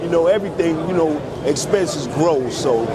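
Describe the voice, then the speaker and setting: Speaking with a New York accent at a fairly quick pace, a man uses ordinary pitch variation amid noticeable background noise and audible room echo. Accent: New York (Bronx). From New York City, the Bronx. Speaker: customer waiting in line. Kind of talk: casual street interview.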